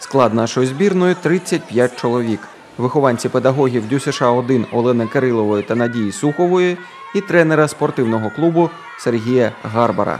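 Over crowd noise in the background, a man talks at a moderate pace with very even loudness. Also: medium pitch for a man, lively intonation. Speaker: TV news reporter. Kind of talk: news report narration.

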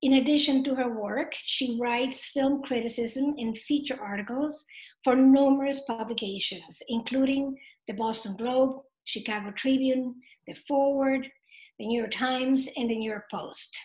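Against a quiet background, a woman speaks at a moderate pace and high pitch with fairly even intonation. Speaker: event organizer. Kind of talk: formal introduction. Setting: video call. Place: home room. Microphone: webcam.

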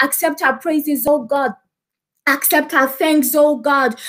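Against a quiet background, a woman speaks in a high pitch with monotone, flat intonation. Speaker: service leader. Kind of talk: opening worship and prayer. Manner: fervent. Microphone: webcam.

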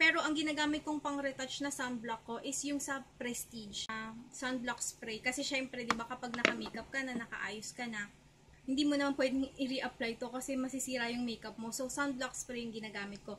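Projecting a raised voice at a high pitch, a woman talks at a fairly quick pace with fairly even intonation and hardly any pauses, over light background noise. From Philippines. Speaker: beauty vlogger. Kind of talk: haul video. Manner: casual, conversational. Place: home room. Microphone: webcam.

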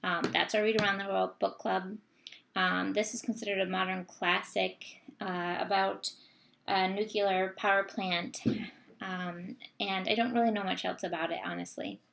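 In an American accent, a woman speaks at a moderate pace and medium pitch with fairly even intonation. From US, Vermont. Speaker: book vlogger. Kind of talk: casual vlog monologue. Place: home room. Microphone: webcam.

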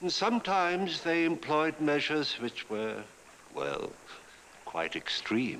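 A man speaks in a theatrical tone at a very slow pace. Long, frequent pauses break his speech over light background noise. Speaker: TV anthology host. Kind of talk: horror anthology episode introduction. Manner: ominous, theatrical. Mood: ominous, theatrical storytelling. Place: studio.

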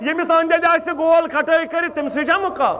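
Over light background noise, a man talks at an extremely high pitch with fairly even intonation. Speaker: Islamic preacher. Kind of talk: sermon. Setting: stage with audience. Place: tent. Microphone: headset.

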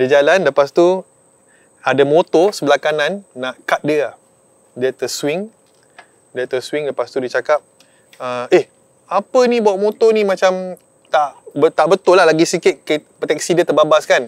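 This man has a high voice and lively intonation, speaking at a fairly slow pace with long, frequent pauses. The sound is dry with no echo, against a quiet background. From Malaysia, Melaka; Malaysia. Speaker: surfer; guest. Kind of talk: storytelling. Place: open country.

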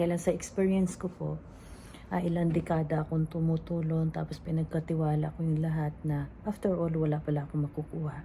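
Her tone dark and mellow, a woman talks at a fairly quick pace in a very deep, low voice. Her intonation stays flat and monotone. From Philippines. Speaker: overseas caregiver vlogger. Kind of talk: personal testimony vlog. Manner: halting.

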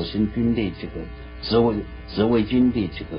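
A man at a fairly slow pace over faint music in the background. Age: 80s+. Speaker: retired army general, former fortress commander. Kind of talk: TV news interview answer. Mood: defensive, insistent. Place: home room.

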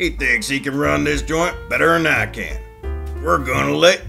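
A man is speaking. Clear music plays behind him. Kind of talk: comic-book fan dub acting. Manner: gruff, scolding, domineering.

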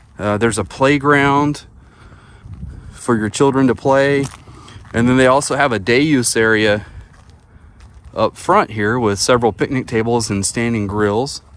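A man with an American accent speaks at a moderate pace with ordinary pitch variation, leaving long, frequent pauses. The sound is dry, with no echo. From northeast Texas (Atlanta, Texas); Texas. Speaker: camping YouTuber. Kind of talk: casual vlog narration. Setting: outdoors at a campsite. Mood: playful, joking. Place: forest. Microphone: phone near.

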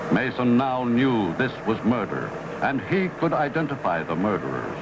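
A man talks at a moderate pace with lively intonation and very even loudness. His pitch is medium, and there is noticeable background noise. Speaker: narrator. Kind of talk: TV drama narration. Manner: dry, methodical.

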